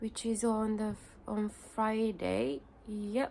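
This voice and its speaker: A woman's fairly high-pitched voice with a dark, mellow tone, a very slow pace and a Japanese accent. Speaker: vlogger. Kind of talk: casual vlog talk. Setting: home, parents' house. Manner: halting, many fillers.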